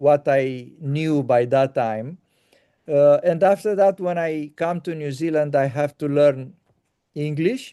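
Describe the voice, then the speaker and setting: A man with a Romanian accent speaks at a very slow pace in a dark, mellow tone, the sound dry and close with no echo. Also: ordinary pitch variation. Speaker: interviewer. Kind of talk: casual chat. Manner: halting.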